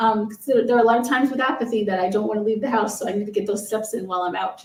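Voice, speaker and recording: Audible room echo surrounds a woman with an American accent who speaks in a fairly high pitch with fairly even intonation. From New York. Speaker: Parkinson's advocate. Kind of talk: casual chat.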